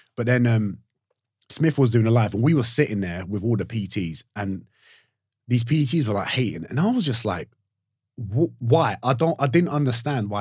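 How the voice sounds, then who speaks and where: At medium pitch and a moderate pace, a man sounds somewhat breathy, with ordinary pitch variation. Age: 30s. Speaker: online fitness coach. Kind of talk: casual chat.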